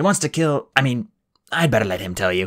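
A man puts on a raspy character voice with very wide pitch swings around a medium pitch. He talks at a fairly quick pace. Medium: read story. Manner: nervous.

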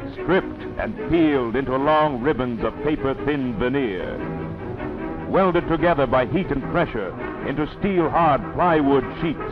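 Clear music plays behind a man with a fairly high voice and very wide pitch swings. He moves at a fairly slow pace with hardly any pauses. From Canada. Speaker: newsreel narrator. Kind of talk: wartime documentary narration. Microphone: old recording.

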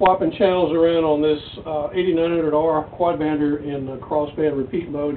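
Speaking at a fairly slow pace, a man keeps his intonation fairly even against light background noise. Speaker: ham radio operator. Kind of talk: radio contact chat. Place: home room. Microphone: camera far.

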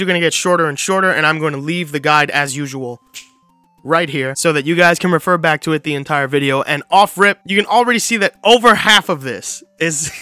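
Faint music plays behind a man speaking very fast in a high voice with ordinary pitch variation. The sound is dry with no echo. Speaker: video host. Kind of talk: casual commentary on a watch-order guide. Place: home room. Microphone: studio mic.

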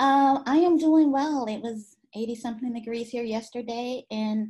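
Against a quiet background, a woman speaks in a high-pitched voice with a dark, mellow tone. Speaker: show producer. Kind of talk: casual chat. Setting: video call. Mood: cheerful, smiling. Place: home room. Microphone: video call.

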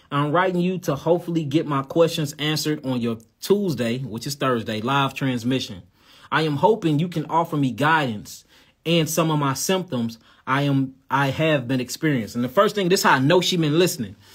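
Over a quiet background, a man talks at a fairly quick pace in a St. Louis accent. His pitch is fairly high, with ordinary pitch variation. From St. Louis, US Midwest. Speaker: livestream host. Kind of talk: reading a viewer letter on a livestream. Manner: animated, loud. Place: home room. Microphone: phone near.

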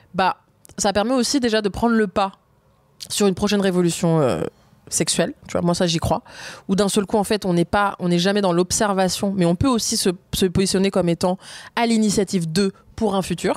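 A woman talks at a fairly quick pace with long, frequent pauses. Her medium pitch shows ordinary variation, and her loudness stays very even. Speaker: feminist activist and author. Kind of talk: interview conversation. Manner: animated, casual slang.

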